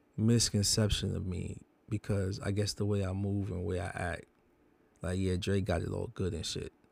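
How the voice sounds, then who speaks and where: Speaking at a fairly low pitch, a man keeps his intonation fairly even on a very clean recording with a silent background. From Bronx, New York (born Jamaica, moved at 5). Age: 40s. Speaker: tattoo artist. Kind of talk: personal vlog monologue. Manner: casual, rambling with many fillers.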